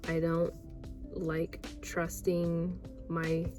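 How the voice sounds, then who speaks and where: There is music in the background. A woman is speaking. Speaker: vlogger. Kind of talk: casual talk to camera. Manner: slow.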